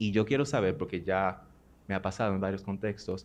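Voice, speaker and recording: Against a quiet background, a man with a fairly low pitch speaks at a fairly quick pace. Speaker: audience member asking a question. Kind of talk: audience question at a conference. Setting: auditorium. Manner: code-switching Spanish and English.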